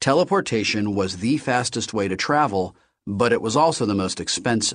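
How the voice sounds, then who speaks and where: With an ordinary speaking voice, a man speaks at medium pitch and a moderate pace, his intonation lively. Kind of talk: audiobook reading of a novel, first-person narration. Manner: steady, measured storyteller's pace, wry and conversational.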